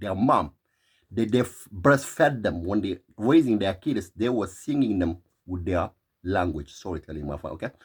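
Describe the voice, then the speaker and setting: Somewhat breathy and fairly low, a man speaks at a moderate pace in an animated tone with lively intonation. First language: Tigrinya. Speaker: vlogger. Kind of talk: opinion monologue.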